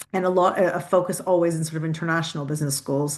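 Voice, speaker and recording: A woman with a Canadian accent speaks at a fairly low pitch with fairly even intonation against a quiet background. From Canada, Toronto suburbs. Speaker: university president and CEO. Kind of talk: podcast interview. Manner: halting, many repeated words.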